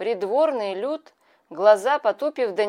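In plain reading aloud, the intonation is lively and the background quiet.

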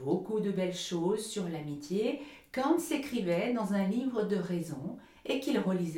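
Someone reads in an unforced voice, the intonation moving in a lively way.

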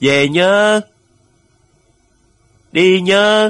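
A man puts on a character voice with a high pitch and ordinary pitch variation. His tone is fairly bright, clear and smooth, and his pace is very slow.

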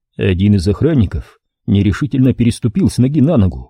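Against a quiet background, an unforced reading voice carries lively intonation.

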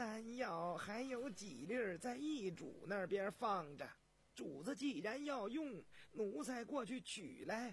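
A man in a put-on character voice speaks slowly at a high pitch with lively intonation.

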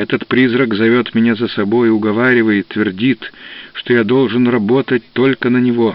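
Fairly even intonation marks this unforced reading voice from start to finish.

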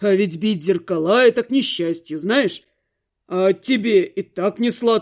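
The background stays quiet during plain reading aloud.

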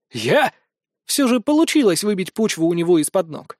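Lively intonation from an unforced reading voice, the background quiet

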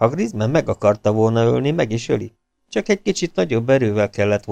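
Over a quiet background, the speaker is reading aloud in a natural voice with lively intonation.

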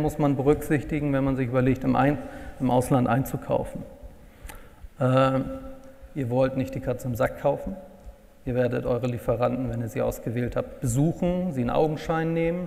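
A medium-pitched man at a moderate pace with long, frequent pauses, amid noticeable background noise. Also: fairly even intonation. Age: 40s. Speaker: purchasing consultant. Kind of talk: workshop presentation.

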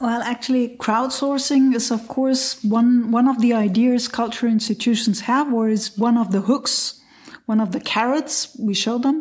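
With a German accent, a woman speaks at a moderate pace in a high voice with fairly even intonation. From Lower Saxony, Germany. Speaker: cultural event organizer. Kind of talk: roundtable discussion.

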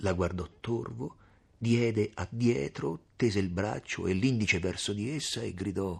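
In a natural reading voice, the pitch rises and falls in an ordinary way.

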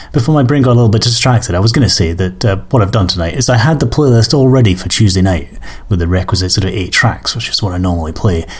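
Lively in intonation, a man rattles along at a very fast pace with noticeable background noise behind him. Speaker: music podcast host. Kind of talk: casual chat. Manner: hesitant with many fillers.

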